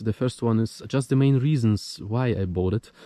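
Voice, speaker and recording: Speaking at a moderate pace, a man with a non-native accent has a medium pitch, ordinary pitch variation and a dark, mellow tone. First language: not English. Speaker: motorcycle vlogger. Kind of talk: casual vlog monologue. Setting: outdoors in the woods. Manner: halting.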